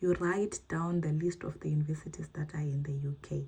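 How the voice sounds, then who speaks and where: Fairly flat intonation marks this slightly breathy voice. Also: woman. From Zimbabwe. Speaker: YouTuber, postgraduate student. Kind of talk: advice talk / tutorial vlog. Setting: sit-down video, screen demo.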